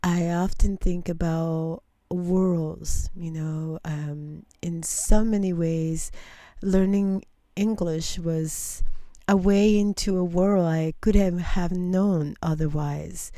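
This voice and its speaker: A woman with a non-native accent speaks very slowly at a fairly low pitch, in a dark, mellow tone with fairly even intonation. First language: not English. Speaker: interview host. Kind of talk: interview.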